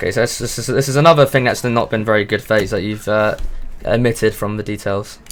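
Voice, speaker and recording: The speaker talks at a very fast pace. The accent is British. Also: man, medium pitch for a man. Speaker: streamer. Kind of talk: casual chat. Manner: stuttering; animated.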